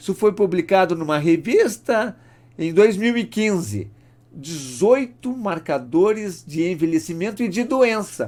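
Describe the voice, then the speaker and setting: Fairly slow and lively in intonation, a man talks at a high pitch. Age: 60s. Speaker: doctor. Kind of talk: lecture.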